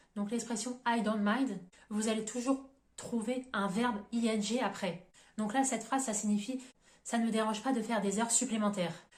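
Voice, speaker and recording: The voice is somewhat breathy, with a moderate pace and fairly even intonation. Loudness swings widely, and audible room echo surrounds it. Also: woman, fairly high pitch for a woman. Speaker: English teacher. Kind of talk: tutorial.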